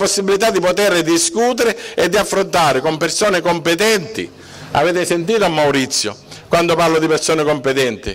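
A man speaks with ordinary pitch variation. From Sicily. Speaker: mayoral candidate, lawyer; candidate, lawyer. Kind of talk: political rally speech. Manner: emphatic. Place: street. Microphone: podium.

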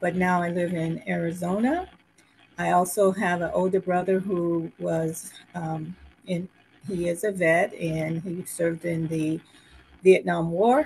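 A woman's fairly low voice, an ordinary speaking voice, at a fairly slow pace with fairly even intonation. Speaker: military family member and panelist. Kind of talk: panel discussion. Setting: video call.

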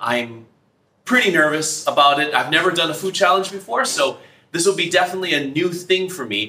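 Speaking at a fairly quick pace, a man uses a high pitch with ordinary pitch variation. Audible room echo surrounds his voice. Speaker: teacher. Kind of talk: casual vlog-style class talk. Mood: excited, a bit nervous. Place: classroom. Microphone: camera far.

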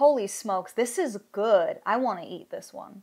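A woman speaking at a fairly slow pace against a quiet background. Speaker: soap maker reviewing fragrances. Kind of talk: casual review chat. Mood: enthusiastic, delighted. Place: home room.

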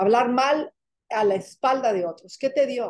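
In a quiet background, a woman speaks at a fairly slow pace with a high pitch and an animated tone. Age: 50s. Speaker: spiritual coach leading an online workshop. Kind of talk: live online spiritual workshop. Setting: live video call. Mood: warm, guiding, reflective. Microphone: webcam.

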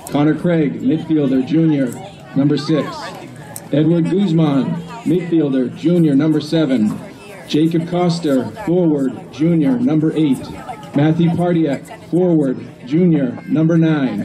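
Over music in the background, a man speaks at a fairly slow pace with ordinary pitch variation and very even loudness. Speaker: field announcer. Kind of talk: roster announcement. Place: stadium.

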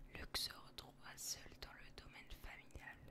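Very slow whispering from a woman. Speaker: ASMR content creator. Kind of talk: whispered ASMR reading of game character biography. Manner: whispered, soft, relaxing.

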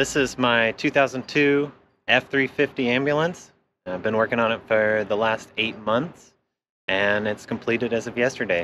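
A man speaks at a fairly slow pace with ordinary pitch variation. The sound is dry with no echo, and music plays in the background. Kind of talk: casual tour chat. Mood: relaxed, cheerful. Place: street.

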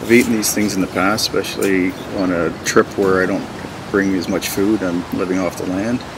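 A man at a fairly low pitch, monotone and flat in intonation, at a moderate pace over noticeable background noise. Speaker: outdoor guide. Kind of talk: tutorial. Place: waterside.

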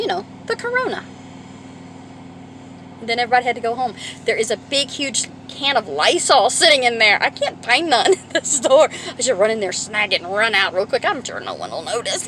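A woman talks at a fairly quick pace in a high pitch, her loudness swinging widely, in a dry sound with no echo and light background noise. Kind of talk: casual vlog chat. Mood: amused, joking. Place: car. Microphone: phone near.

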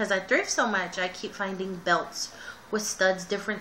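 A woman talks in a flat, monotone way. Light background noise can be heard. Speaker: vlogger. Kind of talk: casual vlog chat. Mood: relaxed, chatty. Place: home room. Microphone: webcam.

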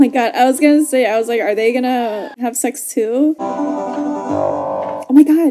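A woman talks at a fairly slow pace. Clear background music accompanies her. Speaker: movie reaction host. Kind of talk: casual reaction commentary. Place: home room.

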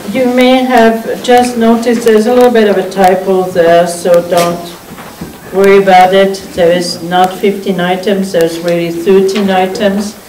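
A woman's voice at a fairly slow pace with ordinary pitch variation, audible room echo and light background noise. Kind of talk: chairing a formal meeting. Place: meeting room.

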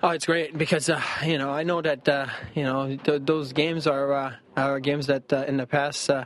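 Pitched fairly high, a man speaks at a moderate pace with little pitch movement.

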